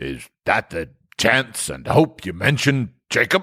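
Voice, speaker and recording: Raspy and medium in pitch, a man's put-on character voice moves fairly slowly with very wide pitch swings. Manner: faltering, uneasy.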